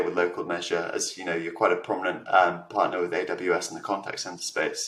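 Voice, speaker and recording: A man speaks at a very fast pace. Noticeable background noise and audible room echo fill the recording. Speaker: interviewer, tech news host. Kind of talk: interview. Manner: hesitant fillers.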